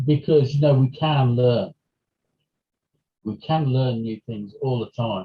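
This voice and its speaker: A man with a British accent speaks at a fairly slow pace with long, frequent pauses. His medium-pitched voice is somewhat breathy, with ordinary pitch variation. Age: 60s. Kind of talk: interview. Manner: halting.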